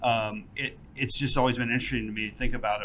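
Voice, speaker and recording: Speaking very fast with a Texas accent, a man's fairly low voice comes through noticeable background noise. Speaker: podcast host. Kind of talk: interview. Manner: halting.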